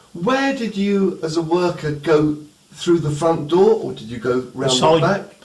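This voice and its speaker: Over noticeable background noise, a man with a high voice speaks at a fairly slow pace, his intonation lively and his loudness swinging widely. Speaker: interviewer. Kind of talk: interview questions.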